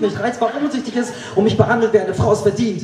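There is audible echo from the room around this man. Light background noise can also be heard. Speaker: poetry slam performer. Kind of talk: poetry slam performance. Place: stage.

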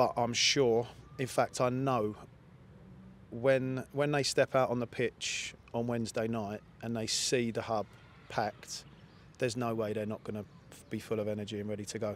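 Over light background noise, a man speaks at a moderate pace with a monotone, flat intonation and long, frequent pauses, in a dry sound with no echo. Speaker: assistant football manager. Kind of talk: post-match interview. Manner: reflective, measured, slightly halting. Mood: disappointed but reflective. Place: stadium. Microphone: handheld.

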